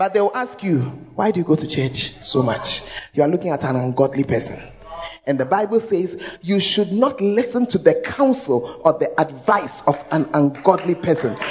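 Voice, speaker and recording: A woman speaks at a moderate pace with a Ghanaian accent, her medium-pitched voice swinging very widely in pitch. Her tone is animated, and background noise is noticeable. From Ghana, Accra. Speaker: pastor. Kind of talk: sermon. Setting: church.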